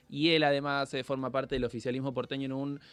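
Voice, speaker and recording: A man with a fairly high pitch. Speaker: radio interviewer. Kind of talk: interview.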